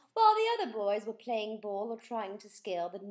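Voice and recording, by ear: Someone reads aloud here in a natural voice.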